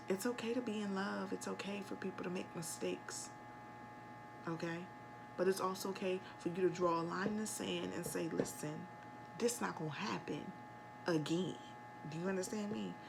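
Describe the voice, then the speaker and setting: A soft-spoken woman talks at a moderate pace with long, frequent pauses. There is audible room echo and noticeable background noise. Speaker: tarot reader. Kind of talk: tarot reading.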